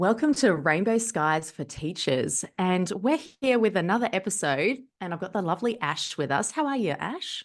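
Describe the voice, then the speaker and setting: A woman speaks in an Australian accent with very wide pitch swings. The background is quiet. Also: medium pitch for a woman, moderate pace. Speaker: podcast host, teacher. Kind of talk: casual chat. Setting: podcast recording.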